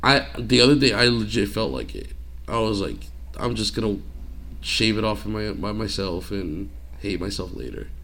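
A man's very deep, low voice with vocal fry, a bright, sharp tone and very wide pitch swings, with audible room echo. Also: moderate pace. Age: 20s. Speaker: podcast co-host. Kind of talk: casual chat.

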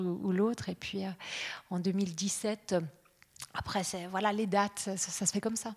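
A woman's medium-pitched, monotone and flat delivery at a moderate pace, on a very clean recording with a silent background. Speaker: radio journalist. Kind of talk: panel talk with host.

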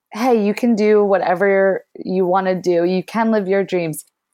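A woman with an ordinary speaking voice and an American accent talks at a medium pitch and a fairly slow pace. The background is quiet. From US, Philadelphia area. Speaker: conservationist and free diver. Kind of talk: interview.

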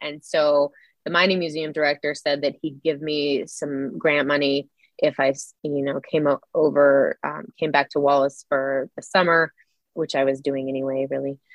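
With a very deep, low pitch, a woman talks at a moderate pace. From Idaho, Silver Valley. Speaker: author and former professor. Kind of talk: interview.

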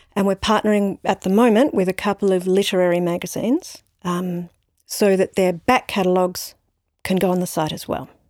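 A woman's fairly quick speech in an Australian accent, medium in pitch, fairly even in intonation, with a dry, close sound and no echo. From Australia, Brisbane. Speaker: novelist. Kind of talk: interview. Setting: library recording.

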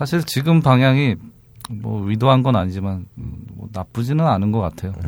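In a normal speaking voice, a man at a medium pitch talks at a moderate pace with lively intonation. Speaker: website operator. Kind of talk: interview. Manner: formal.

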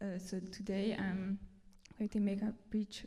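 A woman speaks at a very slow pace in a medium pitch with a dark, mellow tone. Her voice is somewhat breathy and her intonation is monotone and flat. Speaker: interpreter. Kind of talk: sermon interpretation. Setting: church.

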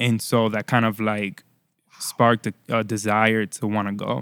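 With an American accent and a normal speaking voice, a man talks in a fairly low pitch and fairly even intonation, his sound dry and close with no echo on a very clean recording with a silent background. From Florida. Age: 30s. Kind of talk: casual chat.

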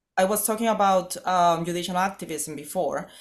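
In a very clean recording with a silent background, a woman speaks with a Spanish accent. Her fairly low voice moves at a moderate pace with ordinary pitch variation. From northern Mexico, Chihuahua. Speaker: political analyst. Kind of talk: interview.

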